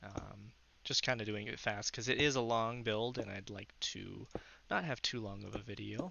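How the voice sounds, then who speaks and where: Speaking at a moderate pace, a man uses a fairly low pitch with vocal fry and ordinary pitch variation. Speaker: gaming tutorial creator. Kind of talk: tutorial. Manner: hesitant, many fillers.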